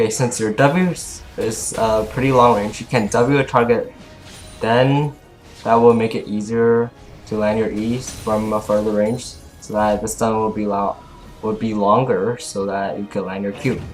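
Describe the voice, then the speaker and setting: Over music in the background, a man speaks at a moderate pace and medium pitch, with fairly even intonation and long, frequent pauses. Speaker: gamer. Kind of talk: game tutorial narration. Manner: stuttering.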